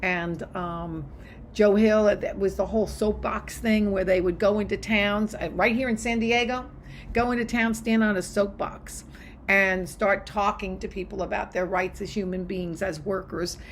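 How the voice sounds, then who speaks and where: Medium-pitched female speech at a moderate pace, carrying audible room echo. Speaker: college history instructor. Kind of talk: recorded lecture to students. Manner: animated, enthusiastic.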